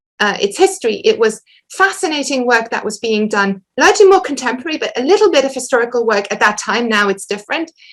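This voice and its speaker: A woman with a German accent speaks at a high pitch with lively intonation. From western Germany. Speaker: historian, academic lecturer. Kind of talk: Q&A after an academic lecture. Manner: halting, many repetitions and fillers.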